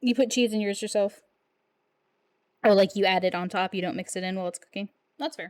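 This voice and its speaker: At a very fast pace broken by long, frequent pauses, a woman speaks in a medium pitch with ordinary pitch variation, her sound dry and close with no echo. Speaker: streamer. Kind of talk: casual chat. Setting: live stream.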